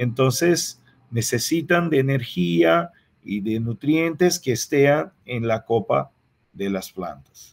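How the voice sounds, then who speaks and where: At a very slow pace, a man with a Portuguese accent speaks with very wide pitch swings. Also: medium pitch for a man. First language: Portuguese (speaking Spanish). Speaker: agronomy researcher and lecturer. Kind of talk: lecture. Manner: halting, with frequent repetitions.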